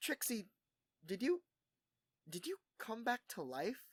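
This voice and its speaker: In a put-on character voice pitched fairly high, the speaker moves at a fairly slow pace with very wide pitch swings. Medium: read story.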